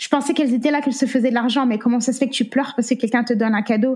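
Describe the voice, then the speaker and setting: Against noticeable background noise, a woman talks with a high pitch and ordinary pitch variation. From France. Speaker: anti-trafficking activist and survivor. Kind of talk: interview testimony. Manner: halting.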